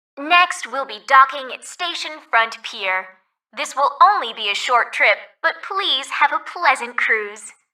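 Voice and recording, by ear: A woman adopts a put-on character voice with a high pitch and a bright, sharp tone. She talks at a fairly slow pace with lively intonation.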